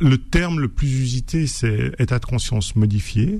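The man's medium-pitched voice comes through noticeable background noise. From Switzerland. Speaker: novelist and author. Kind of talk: radio interview. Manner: halting, with many repetitions.

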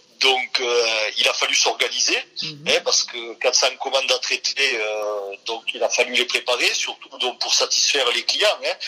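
Against noticeable background noise, a man talks at a fairly slow pace with hardly any pauses. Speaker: entrepreneur. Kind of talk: interview. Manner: halting, many fillers.

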